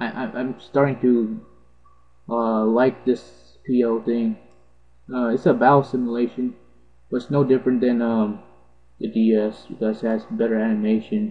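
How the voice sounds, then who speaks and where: Over music in the background, a man with a medium pitch talks at a moderate pace in a monotone, flat intonation, leaving long, frequent pauses. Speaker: gaming video narrator. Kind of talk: gameplay commentary. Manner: halting, stuttering.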